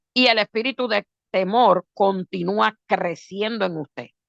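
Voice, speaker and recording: With lively intonation, a woman speaks fairly slowly at medium pitch in an unremarkable speaking voice. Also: dry, close sound with no echo. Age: 60s. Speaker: preacher. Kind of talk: sermon.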